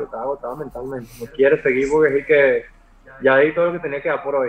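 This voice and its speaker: A man at a very fast pace, fairly high-pitched for a man, over noticeable background noise. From Venezuela (Maracay). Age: 30s. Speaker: digital artist. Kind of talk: casual chat.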